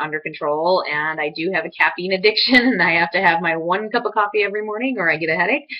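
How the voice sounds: A woman talks at a fast pace. Her pitch variation is ordinary.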